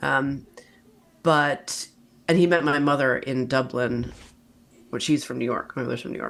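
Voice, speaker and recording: A woman with an American accent and vocal fry speaks at a very deep, low pitch and a moderate pace. Her intonation is fairly even, and she takes long, frequent pauses. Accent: American, drifts toward Belfast. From mixed: Brooklyn, Italy, Northern Ireland. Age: 40s. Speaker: writer. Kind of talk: interview conversation.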